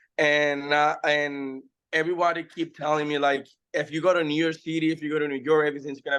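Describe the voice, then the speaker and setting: A man with a Spanish accent talks at a very fast pace, his fairly high pitch held in a monotone, flat intonation. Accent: Spanish accent, noticeable. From Dominican Republic. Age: 20s. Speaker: actor and music artist. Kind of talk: interview. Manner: halting non-native English.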